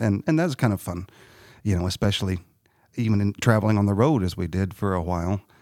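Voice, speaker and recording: At a fairly quick pace, a man with a Southern Illinois accent speaks in a dark, mellow tone at fairly low pitch, in a very clean recording with a silent background. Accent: Southern Illinois, Midland American. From Southern Illinois, US. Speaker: musician. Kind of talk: interview. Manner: halting, many fillers.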